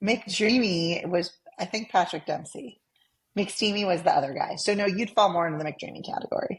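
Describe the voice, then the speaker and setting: Moderate pace, ordinary pitch variation, and an unremarkable speaking voice. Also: woman, medium pitch for a woman. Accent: American. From California (San Fernando Valley). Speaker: podcast co-host. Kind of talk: casual podcast chat.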